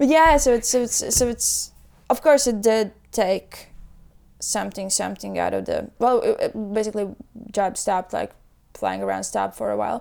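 A woman with a Latvian accent speaks at a moderate pace, leaving long, frequent pauses. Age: 20s. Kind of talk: casual chat.

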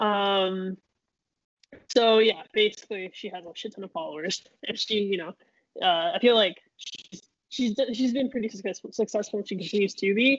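A woman with an ordinary speaking voice, medium pitch, ordinary pitch variation, big swings in loudness and a moderate pace. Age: 20s. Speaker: podcast co-host. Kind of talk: casual chat.

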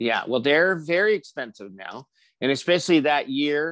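A man talks against a quiet background. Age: 60s. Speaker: podcast guest, old friend of host. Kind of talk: casual chat. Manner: animated, laughs often.

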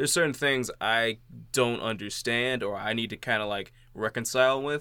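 A bright, sharp tone with fairly even intonation comes at a moderate pace on a very clean recording with a silent background. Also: man, medium pitch for a man. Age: 20s. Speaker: podcast host. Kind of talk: casual chat.

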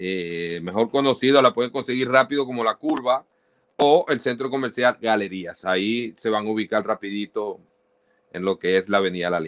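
A man's medium-pitched voice in a Maracaibo accent, at a moderate pace with ordinary pitch variation. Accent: Maracaibo Venezuelan Spanish. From Maracaibo, Venezuela (Zulia). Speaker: radio presenter. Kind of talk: casual interview.

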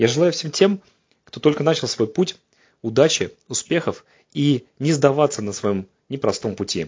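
A man's fairly high, somewhat breathy voice at a moderate pace, with lively intonation, big swings in loudness and long, frequent pauses. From Russia, Saint Petersburg. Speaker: head physician. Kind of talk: prepared testimonial address.

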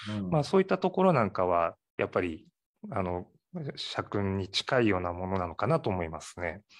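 Against a quiet background, a man talks in an ordinary speaking voice with a fairly low pitch. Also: ordinary pitch variation, fairly quick pace. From Ehime, Japan (Matsuyama). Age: 40s. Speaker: sake brewery owner. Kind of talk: interview.

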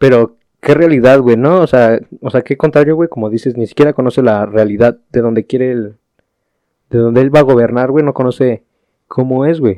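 A man with a Mexican accent talks at a fairly quick pace in a medium pitch with ordinary pitch variation. His tone is dark and mellow, and the sound is dry and close with no echo. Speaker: podcast co-host. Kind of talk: casual chat.

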